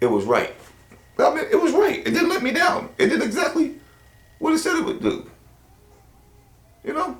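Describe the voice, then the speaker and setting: Pausing long and often, a man talks at a moderate pace in an animated tone with lively intonation and an extremely high pitch, while audible room echo fills the recording. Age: 60s. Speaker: hunting vlogger. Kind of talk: casual product review monologue.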